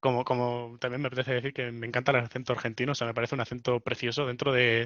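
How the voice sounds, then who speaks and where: Very fast and monotone, a man talks with flat intonation throughout. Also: medium pitch for a man. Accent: Spanish. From Spain. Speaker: podcast host. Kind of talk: casual chat.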